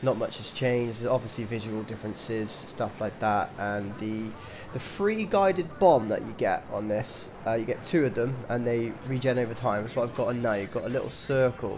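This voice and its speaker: Music plays in the background as the speaker goes at a moderate pace with hardly any pauses. Pitch variation is ordinary. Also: man, medium pitch for a man. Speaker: casual gamer. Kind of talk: casual game review talk. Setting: low-quality home microphone.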